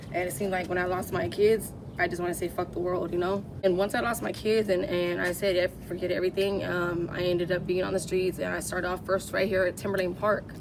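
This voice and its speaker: A woman's very fast, medium-pitched speech with an American accent, fairly even intonation, hardly any pauses and noticeable background noise. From Southern California, San Bernardino County. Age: 30s. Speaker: homeless woman. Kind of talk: interview. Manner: casual, halting with fillers.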